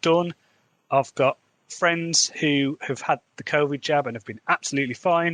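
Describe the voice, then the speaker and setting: Dry and close with no echo, the voice carries a Midlands accent at a fairly slow pace. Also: man. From English Midlands, Wolverhampton. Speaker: fantasy author, podcaster. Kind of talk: podcast diary monologue.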